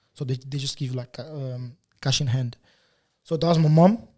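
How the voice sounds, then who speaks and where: This man's voice is dark and mellow, fairly high-pitched for a man and somewhat breathy, with fairly even intonation at a moderate pace. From Portugal (Lisbon), born in Angola. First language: Portuguese. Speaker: photographer. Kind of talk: casual interview chat. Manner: halting, many fillers and repetitions.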